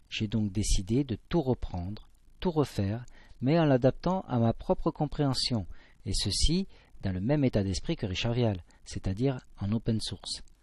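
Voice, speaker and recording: A man with a southwestern French accent speaks at a fairly slow pace with lively intonation. The recording is very clean, with a silent background. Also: medium pitch for a man. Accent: southwest French. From southwest France. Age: 50s. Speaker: amateur science presenter. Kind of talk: scripted narration.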